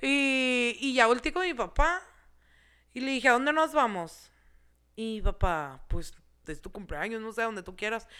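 Speaking with a Mexican accent, a woman uses a high pitch, a bright, sharp tone and very wide pitch swings. Her pace is fairly slow, with long, frequent pauses and big swings in loudness. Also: very clean recording, silent background. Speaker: podcast guest. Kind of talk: casual chat. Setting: studio.

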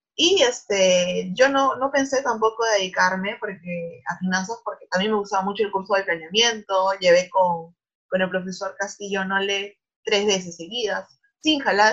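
A woman has an ordinary speaking voice, medium pitch, ordinary pitch variation and a moderate pace. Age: 20s. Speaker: bank risk analyst. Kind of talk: interview.

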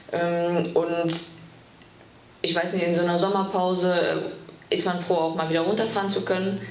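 A woman's voice, fairly low in pitch, monotone and flat, very even in loudness, at a moderate pace with long, frequent pauses, amid noticeable background noise and audible room echo. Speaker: women's football player and student. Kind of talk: casual interview.

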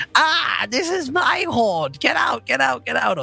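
A put-on character voice, fairly high pitched, at a fairly slow pace. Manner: shouting.

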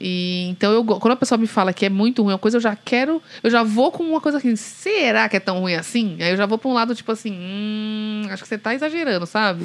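A woman talks at a very fast pace with hardly any pauses, her fairly high pitch showing ordinary pitch variation. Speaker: podcast co-host. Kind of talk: casual chat. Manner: loud.

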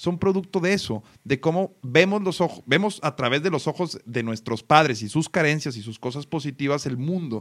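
In an ordinary speaking voice, a man talks at a moderate pace with a fairly high pitch and lively intonation. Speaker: podcast host. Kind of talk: casual chat.

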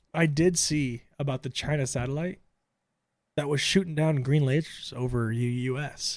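A man speaks at a moderate pace in a fairly high voice with fairly even intonation, on a very clean recording with a silent background. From Tampa, Florida. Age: 20s. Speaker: podcast co-host. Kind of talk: casual banter, crude comedic debate. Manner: joking, profane.

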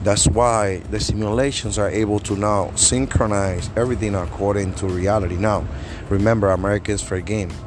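With music playing in the background, a man with a non-native accent speaks fairly quickly at a fairly low pitch and with fairly even intonation. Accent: foreign-accented English. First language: not English. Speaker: podcast host. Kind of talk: casual monologue. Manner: fast talker.

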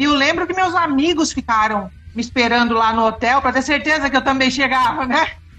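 A woman's raised, projected voice, high-pitched, with very even loudness and ordinary pitch variation. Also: fairly quick pace. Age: 50s. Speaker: former band interpreter. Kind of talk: casual interview.

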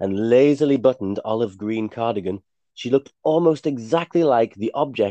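Quiet surroundings behind a natural reading voice

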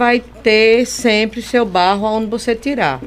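A woman is speaking. Her pace is very slow. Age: old. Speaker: clay artisan. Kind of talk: radio interview.

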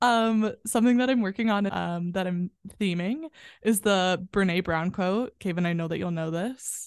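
A woman speaks in an unremarkable speaking voice at a medium pitch. Her pace is moderate and her pitch varies in an ordinary way. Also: quiet background. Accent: American. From US Midwest, western suburbs of Chicago. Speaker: performer and yoga guide. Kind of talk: guided breathing meditation led for podcast listeners. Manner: warm, effusive and bubbly in conversation.

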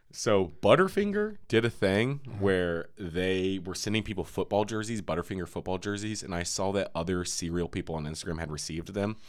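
On a very clean recording with a silent background, a man uses a normal speaking voice, fairly low in pitch, talking at a fairly quick pace with fairly even intonation. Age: 30s. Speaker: podcast host. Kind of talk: casual chat.

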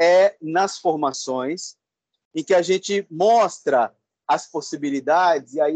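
In a dry, close sound with no echo, a man with a high pitch talks fairly slowly with lively intonation. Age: 50s. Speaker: educator and project coordinator. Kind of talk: interview. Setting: video call.

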